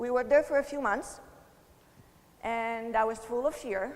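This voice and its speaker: A woman's fairly high voice with an Italian accent, fairly even intonation and a moderate pace. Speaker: motivational speaker, network marketer. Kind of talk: motivational talk.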